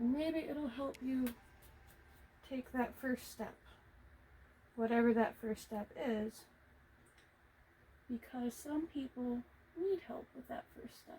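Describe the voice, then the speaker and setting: A woman with a high pitch speaks at a very slow pace, leaving long, frequent pauses. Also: ordinary pitch variation. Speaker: video creator painting on camera. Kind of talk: casual vlog talk while painting. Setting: hot room at home. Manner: projecting louder than usual.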